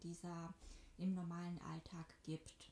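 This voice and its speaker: A woman's fairly low voice sounds dark, mellow and somewhat breathy. Her intonation stays monotone and flat. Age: 20s. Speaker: podcast host. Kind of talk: scripted introduction; read-out disclaimer.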